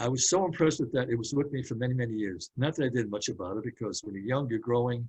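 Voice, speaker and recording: A man with a New York accent talks at a very fast pace and a medium pitch. His voice is somewhat breathy with ordinary pitch variation. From Brooklyn, New York. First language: Hungarian. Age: 80s+. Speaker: speaker on metaphysics. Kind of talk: talk to a community group.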